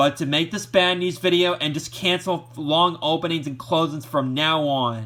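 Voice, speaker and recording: A man shouts loudly at a moderate pace. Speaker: YouTuber, VHS collector. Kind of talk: vlog rant. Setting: at home, TV on. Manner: loud, shouting; halting, repetitive.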